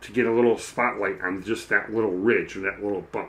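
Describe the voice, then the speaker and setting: Loud, bright and sharp, at a moderate pace with fairly even intonation. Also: man. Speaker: miniature painting streamer. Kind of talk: live-stream painting tutorial. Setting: live stream. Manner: naturally loud; calm, soft tone.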